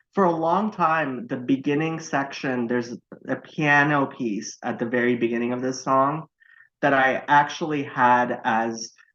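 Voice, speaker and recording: With a Californian accent, a man speaks fairly slowly in a medium pitch and a bright, sharp tone, using ordinary pitch variation against a quiet background. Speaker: podcast guest. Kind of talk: casual chat. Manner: halting, many false starts.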